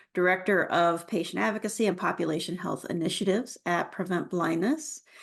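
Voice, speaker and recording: Here a woman talks in a normal speaking voice. Her pitch varies in an ordinary way. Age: middle-aged. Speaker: forum moderator. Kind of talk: moderated online forum.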